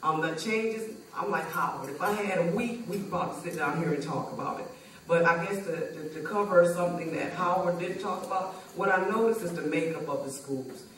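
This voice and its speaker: Delivered at a fairly quick pace with hardly any pauses and ordinary pitch variation, the speech carries audible room echo and light background noise. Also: woman, fairly low pitch for a woman. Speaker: parent panelist. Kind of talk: panel discussion. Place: stage.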